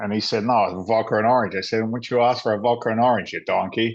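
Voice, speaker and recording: A man talks at a very fast pace against a quiet background. His pitch sits in the medium range. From England, London. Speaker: former firefighter and real estate investor. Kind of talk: interview storytelling. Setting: podcast recording. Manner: animated.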